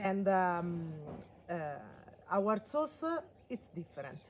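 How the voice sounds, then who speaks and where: A woman's medium-pitched voice with an Italian accent, at a very slow pace. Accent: Italian accent, non-native English. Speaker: farm stay owner and food producer. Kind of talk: casual product talk. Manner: halting, many fillers.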